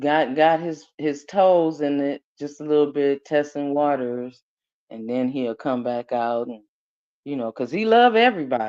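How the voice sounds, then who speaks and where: This woman has a very deep, low pitch and a dark, mellow tone, speaking at a fairly slow pace with lively intonation. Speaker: YouTube live host. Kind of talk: casual chat. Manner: loud.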